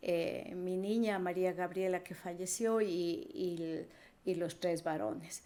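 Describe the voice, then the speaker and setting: A dark, mellow tone at a very slow pace, with fairly even intonation. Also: woman, medium pitch for a woman. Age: 60s. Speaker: guest sharing faith testimony. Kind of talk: testimony. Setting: podcast interview.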